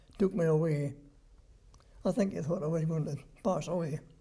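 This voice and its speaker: In a Scottish accent, a man speaks at a moderate pace with a dark, mellow tone. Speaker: war veteran. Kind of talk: interview answer.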